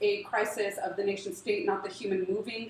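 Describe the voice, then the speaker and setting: Noticeable background noise sits behind a woman speaking. She keeps a moderate pace with ordinary pitch variation. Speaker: refugee aid worker. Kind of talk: panel talk.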